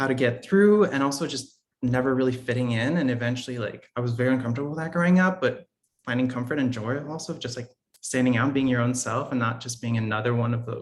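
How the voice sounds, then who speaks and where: A man talks very fast in an American accent. His pitch is medium, with ordinary pitch variation. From Italy, Austria, then US from age ten. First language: French. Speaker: podcast guest. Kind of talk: interview. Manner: casual, many fillers.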